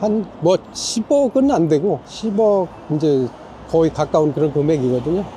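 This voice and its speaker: Speaking at a fairly slow pace, a man with a high pitch uses lively intonation and very even loudness over noticeable background noise. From South Korea. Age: 60s. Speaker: retired restaurant owner, immigrant. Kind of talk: street interview.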